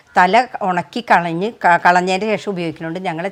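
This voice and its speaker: A woman's fairly low voice, ordinary pitch variation, an unremarkable speaking voice. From Kerala, Thrissur (Nattika). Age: 50s. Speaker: small food producer and farmer. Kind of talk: cooking demonstration.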